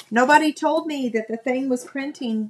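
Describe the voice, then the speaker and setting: Her Southern US accent comes with ordinary pitch variation as this woman speaks. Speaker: crafting video host. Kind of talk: casual live stream chat. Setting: live stream video. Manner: tired, chatty.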